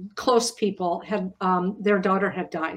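The woman speaks with an American accent at a medium pitch. Her intonation stays fairly even. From US rural farm town. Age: 60s. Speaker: memoir author. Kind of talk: panel discussion.

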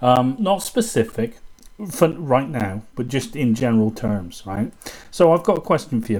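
With a British accent, a man of medium pitch talks at a moderate pace with lively intonation. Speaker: podcast host and kung fu student. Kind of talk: casual chat. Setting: video call.

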